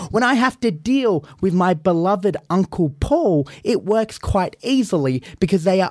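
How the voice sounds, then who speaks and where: Speaking in an Australian accent, a man talks at a fairly slow pace in a high voice. His pitch swings very widely. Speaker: professional wrestler. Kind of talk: in-character comedic banter. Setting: studio. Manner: brash; animated.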